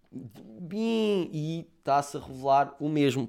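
A man's voice comes through a very clean recording against a silent background. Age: 20s. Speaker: podcaster. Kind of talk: casual monologue.

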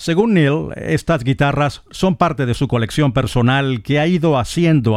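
A man with a normal speaking voice, ordinary pitch variation and a fairly slow pace. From eastern Venezuela. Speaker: radio host. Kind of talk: radio music show presentation.

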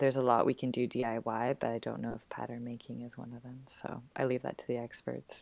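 The speech races at a very fast pace with hardly any pauses and big swings in loudness. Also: woman. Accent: western Canadian. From Vancouver, western Canada. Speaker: burlesque performer and teacher. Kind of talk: interview.

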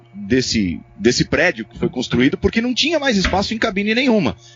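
A man's voice swings very widely in pitch. Behind him, music is playing. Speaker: sports commentator and narrator. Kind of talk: casual chat.

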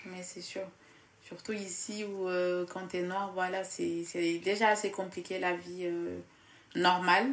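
Speech comes at a very slow pace with long, frequent pauses and big swings in loudness. The intonation is monotone and flat, with audible room echo. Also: woman, medium pitch for a woman. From Casamance, southern Senegal. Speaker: student. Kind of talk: casual interview.

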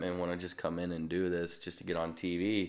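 Monotone and fairly quick, a man with a Midwestern American accent speaks at a very deep, low pitch. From US Midwest, St. Louis, Missouri. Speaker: stunt motorcycle rider. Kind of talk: casual interview. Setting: video call.

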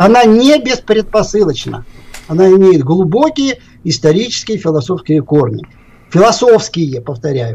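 This man's pitch is high and swings very widely. He speaks at a fairly slow pace in a dark, mellow tone. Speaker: philosophy professor. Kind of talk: lecture. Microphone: too quiet at first.

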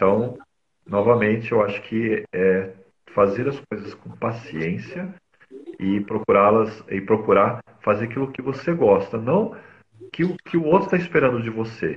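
At a fairly slow pace, a man with a somewhat breathy, medium-pitched voice makes very wide pitch swings. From São Paulo city, Brazil. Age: 40s. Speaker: mobile photographer. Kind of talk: casual interview. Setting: live video stream.

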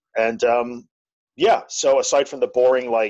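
A man talks with a Long Island accent. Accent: Long Island New York. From Long Island, New York. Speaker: anxiety podcaster and tech business owner. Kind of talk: interview conversation.

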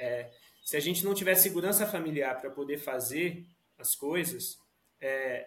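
A man speaks at a fairly slow pace. His voice is fairly high, with ordinary pitch variation. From Brazil, Suzano, greater São Paulo. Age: 20s. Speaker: product manager. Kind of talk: casual interview chat.

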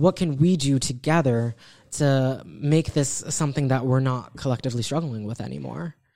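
An American accent at a moderate pace, on a very clean recording with a silent background. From Beacon, New York. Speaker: community activist guest. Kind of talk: casual interview chat.

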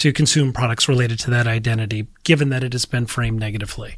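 With an American accent, the speaker goes at a very fast pace in a very clean recording with a silent background. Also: man. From Minnesota. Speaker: marketing professor. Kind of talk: interview.

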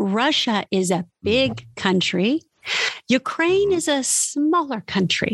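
This woman's voice is high and swings very widely in pitch. She talks at a very slow pace. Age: 50s. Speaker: former magazine model, self-help blogger. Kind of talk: casual interview.

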